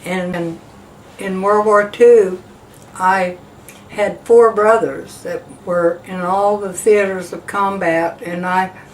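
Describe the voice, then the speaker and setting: Noticeable background noise surrounds a woman speaking at a very slow pace. Her medium-pitched voice is monotone and flat. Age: 80s+. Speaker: war veteran. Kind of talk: oral history testimony. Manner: halting, with fillers.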